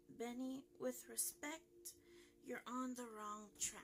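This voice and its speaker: Over clear background noise, a put-on character voice speaks at a very slow pace. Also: woman. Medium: read story. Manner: calm, measured.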